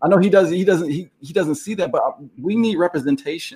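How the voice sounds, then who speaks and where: A man talks at a fairly quick pace with lively intonation. His pitch sits high. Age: 50s. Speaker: podcast co-host. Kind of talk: casual chat.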